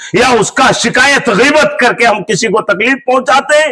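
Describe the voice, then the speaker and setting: A man speaks in a bright, sharp tone. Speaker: imam giving Friday sermon. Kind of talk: sermon. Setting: mosque. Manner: loud.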